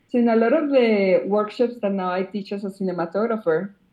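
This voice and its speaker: With a Spanish accent, a woman speaks at a moderate pace in a medium pitch, her pitch varying in an ordinary way. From Colombia. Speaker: cinematographer. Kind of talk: interview. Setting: remote call.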